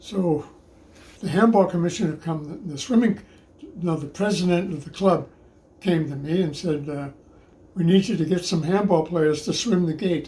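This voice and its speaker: A man with a dark, mellow tone and a high pitch speaks at a moderate pace with ordinary pitch variation. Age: 90s. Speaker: handball player and club member. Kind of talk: interview. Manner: halting.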